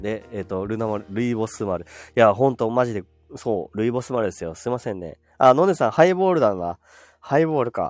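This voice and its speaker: Over music in the background, a man talks in a relaxed tone with lively intonation. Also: medium pitch for a man. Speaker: live streamer. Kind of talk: casual live stream chat. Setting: online live broadcast. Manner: relaxed, chatty.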